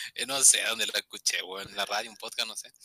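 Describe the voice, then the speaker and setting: Very fast and in a Chilean accent, a man talks with a bright, sharp tone in a dry, close sound with no echo. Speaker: podcast co-host. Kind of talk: casual chat.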